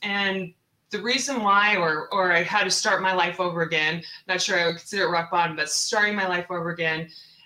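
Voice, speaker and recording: Speaking at a moderate pace, a woman with an American accent uses a medium pitch with ordinary pitch variation. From US Pacific Northwest, Seattle. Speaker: real estate investor. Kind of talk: interview. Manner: animated.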